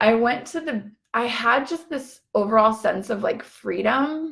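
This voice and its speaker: Bright and sharp in tone, a woman speaks very slowly with lively intonation. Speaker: empowerment coach. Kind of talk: Facebook live talk. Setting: Facebook live video. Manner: casual, filler-heavy.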